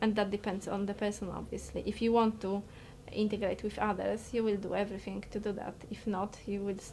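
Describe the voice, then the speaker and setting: A woman speaks with a Polish accent. Her pitch is medium and her pace moderate. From Poland. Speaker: interviewee. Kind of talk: interview. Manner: halting, repeated words.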